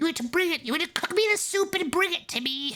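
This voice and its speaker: A cackling, put-on character voice at an extremely high pitch and very fast pace, with faint music in the background. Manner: demanding, gleeful.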